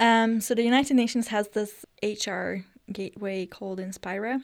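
A woman speaks in a Hungarian accent. The recording is very clean, with a silent background. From northern Hungary (Eger). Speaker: youth delegate to the UN. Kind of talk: interview.

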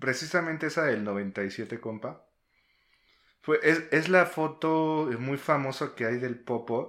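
Speaking at a very slow pace with long, frequent pauses, a man is heard on a very clean recording against a silent background. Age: 30s. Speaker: podcast co-host. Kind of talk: casual chat.

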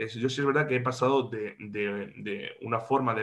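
A man talks at a moderate pace in a plain, everyday voice, with fairly even intonation. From Andalusia, Córdoba. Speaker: regional parliament politician. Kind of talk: interview.

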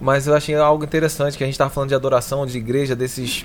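A man is talking in a medium register. His delivery is monotone and flat. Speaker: podcast host. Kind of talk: casual podcast interview.

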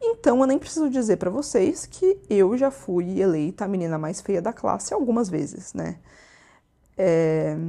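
A woman speaks at a fairly slow pace with a medium pitch and very wide pitch swings. Her tone is dark and mellow. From Brazil, interior of São Paulo state. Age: 20s. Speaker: podcast host. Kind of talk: personal monologue podcast. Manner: casual, conversational.

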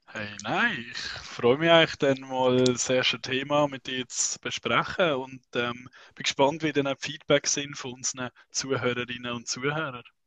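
A man's plain, everyday voice at a medium pitch and moderate pace, with fairly even intonation, dry and close with no echo. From Switzerland, Basel region. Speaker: unihockey youth coach, podcast co-host. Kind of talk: casual chat.

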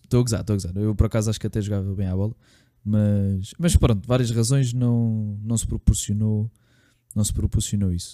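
Dark and mellow in tone, a man's fairly low voice moves at a fairly quick pace with fairly even intonation and big swings in loudness, captured in a very clean recording with a silent background and a dry, close sound with no echo. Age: 20s. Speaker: podcast co-host, personal trainer. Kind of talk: casual chat.

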